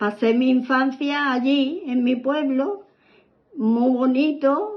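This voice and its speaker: A woman talks at a very slow pace. Her pitch is high, with ordinary variation. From southern Spain, Málaga province. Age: 80s+. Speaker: grandmother interviewed about her childhood. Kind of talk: oral history interview. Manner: halting, with repetitions.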